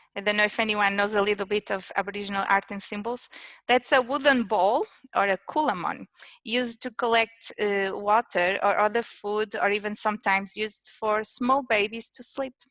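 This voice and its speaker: In a Portuguese accent, a woman with a fairly high pitch talks at a moderate pace and fairly even intonation, the sound dry and close with no echo. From Portugal. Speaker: innovation manager at an engineering firm. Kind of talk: presentation. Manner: halting, many fillers.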